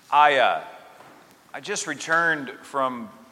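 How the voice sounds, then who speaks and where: The speaker is a man with ordinary pitch variation. Audible room echo surrounds his voice. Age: 50s. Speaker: Episcopal priest. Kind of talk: sermon. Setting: church service. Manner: conversational, hesitant.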